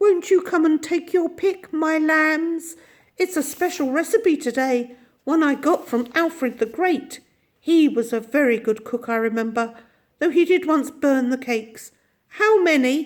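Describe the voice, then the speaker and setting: In a put-on character voice, a female-sounding speaker cackles at a moderate pace, high-pitched and shrill. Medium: read story.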